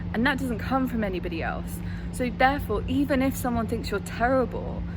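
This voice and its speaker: A woman speaks at a fairly quick pace amid audible room echo and noticeable background noise. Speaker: acting coach. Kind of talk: vlog-style advice talk. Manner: fast.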